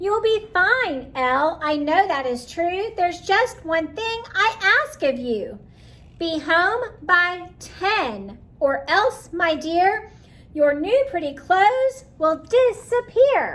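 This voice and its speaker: In a put-on character voice, a woman speaks at an extremely high pitch and a very slow pace. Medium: read story.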